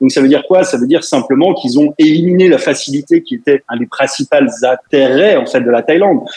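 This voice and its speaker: A man talks at a fairly quick pace. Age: 40s. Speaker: web entrepreneur. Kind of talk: radio interview.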